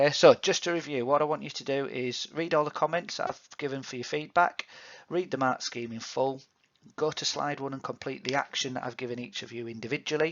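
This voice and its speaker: A man with a Yorkshire accent at a fairly quick pace, with big swings in loudness. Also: fairly even intonation. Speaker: PE teacher. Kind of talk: recorded feedback to students. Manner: hesitant, many fillers.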